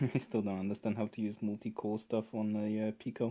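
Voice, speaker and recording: A man with a non-native accent has a fairly low pitch and a dark, mellow tone, recorded very cleanly against a silent background. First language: not English. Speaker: maker livestreamer. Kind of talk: casual chat. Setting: live stream.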